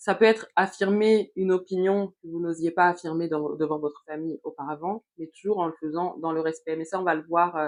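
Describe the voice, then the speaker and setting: Talking at a fairly quick pace with hardly any pauses, a woman has a fairly low pitch and fairly even intonation. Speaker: youtuber, personal development coach. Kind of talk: motivational vlog monologue. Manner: hesitant, many fillers.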